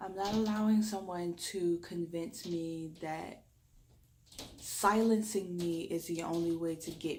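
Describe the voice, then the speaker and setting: A woman with an American accent at a fairly low pitch, fairly even intonation and a very slow pace, with audible room echo. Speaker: reiki energy healer. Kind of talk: spiritual talk to camera.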